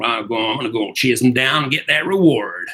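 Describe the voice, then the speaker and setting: Putting on a raspy character voice with a Western US accent, a man speaks at a moderate pace with a medium pitch. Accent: cowboy Western. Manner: gruff, swaggering.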